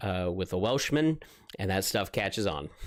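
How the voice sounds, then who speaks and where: Speaking with an American accent, a man uses lively intonation and a relaxed tone at a moderate pace. His pitch is fairly low, and the recording is very clean with a silent background. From US West Coast, Oregon. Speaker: gaming streamer and touring musician. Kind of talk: live stream chat. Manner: relaxed, laid-back.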